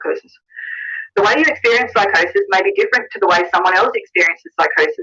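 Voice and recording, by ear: A woman's fast, lively delivery with a bright, sharp tone and a slightly husky edge. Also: medium pitch for a woman.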